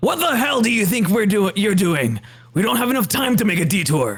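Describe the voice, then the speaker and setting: Using a high-pitched put-on character voice, a man speaks at a fairly quick pace with very wide pitch swings and very even loudness. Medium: virtual streamer. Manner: grumbling, reluctant.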